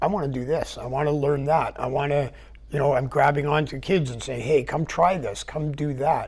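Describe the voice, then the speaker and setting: The voice belongs to a man with a Canadian accent. He sounds somewhat breathy, pitched fairly high. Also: fairly even intonation, moderate pace. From Vancouver Island, British Columbia, Canada. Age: 60s. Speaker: business owner and retired military parachute rigger. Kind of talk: interview. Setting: TV studio.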